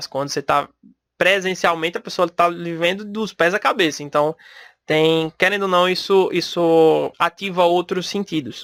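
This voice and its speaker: With a Recife accent, a man speaks at a moderate pace in a high voice. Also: fairly even intonation, dry, close sound with no echo, very clean recording, silent background. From Brazil, Recife (Pernambuco). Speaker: podcast host, salesperson. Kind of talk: solo podcast talk. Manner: casual, conversational.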